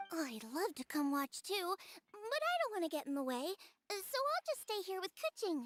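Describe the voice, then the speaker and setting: A woman uses a put-on character voice with an extremely high pitch. She talks at a moderate pace with music in the background. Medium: video game.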